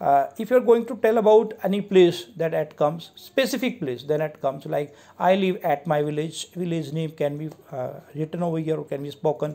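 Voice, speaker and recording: With an Indian accent, a man speaks in a fairly high pitch. His intonation is lively and his pace moderate. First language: Hindi. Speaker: English teacher. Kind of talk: lecture. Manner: halting.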